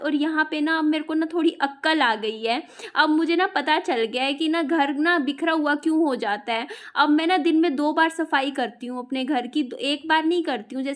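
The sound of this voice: With hardly any pauses, a woman speaks at a moderate pace in a high pitch with ordinary pitch variation.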